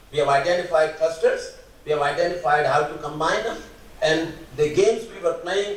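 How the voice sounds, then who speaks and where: Against noticeable background noise and audible room echo, a man speaks at a fairly quick pace with ordinary pitch variation. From India, Rajasthan. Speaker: mathematics educator. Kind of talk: keynote lecture.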